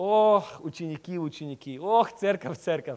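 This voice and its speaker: Speaking at a high pitch, a man is heard. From Moldova, raised in the US from age 6. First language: English (speaking Russian). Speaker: guest preacher. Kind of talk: sermon. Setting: church. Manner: halting, searching for Russian words.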